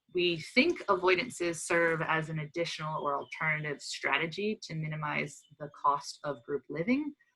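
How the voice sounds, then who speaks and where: With an American accent, a woman speaks at a moderate pace and fairly low pitch, her tone bright and sharp with ordinary pitch variation. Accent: American, similar to US listeners. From US, Pennsylvania (Pottstown). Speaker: dolphin researcher. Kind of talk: lecture; casual talk about own life path. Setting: webinar video call.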